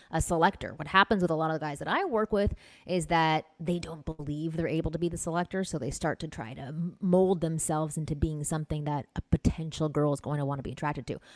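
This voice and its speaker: Soft-spoken and in a Canadian accent, a woman talks at a very fast pace with hardly any pauses, her fairly low voice showing ordinary pitch variation in a dry, close sound with no echo. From Canada (Toronto). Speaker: dating coach. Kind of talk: casual chat.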